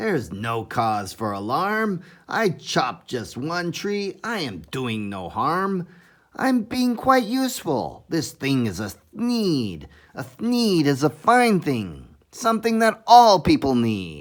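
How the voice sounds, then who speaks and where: In a put-on character voice, a man speaks nasally at a fairly high pitch and a fairly slow pace. His pitch swings very widely, on a very clean recording with a silent background. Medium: read story. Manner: grunting.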